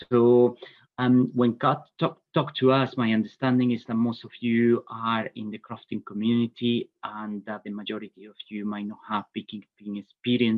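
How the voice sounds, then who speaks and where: The speaker has a Spanish accent and a moderate pace, with hardly any pauses. Intonation is monotone and flat, but loudness swings a lot. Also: man, medium pitch for a man. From Spain. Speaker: bee inspector and vet. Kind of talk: webinar presentation. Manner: hesitant, many fillers.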